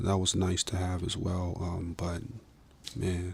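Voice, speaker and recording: A somewhat breathy man's voice, very deep and low in pitch, with fairly even intonation and an American accent. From Minnesota, US. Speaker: musician and filmmaker. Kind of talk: podcast interview. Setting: studio. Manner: hesitant, many fillers.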